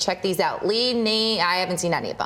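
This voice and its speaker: Noticeable noise in the background behind a woman's fairly brisk delivery. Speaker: TV news anchor. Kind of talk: local TV newscast anchor read.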